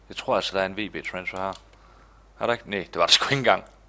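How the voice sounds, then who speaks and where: The speaker is a man. His pitch rises and falls in an ordinary way. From Denmark. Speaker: gaming YouTuber. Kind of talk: let's play commentary. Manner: animated. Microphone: headset.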